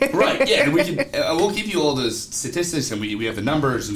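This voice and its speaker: A man with an American accent speaks at a very fast pace, with audible room echo and noticeable background noise. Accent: East Coast US accent, comes out at times. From US East Coast. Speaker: recruitment marketing professional, military veteran. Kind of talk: casual podcast conversation.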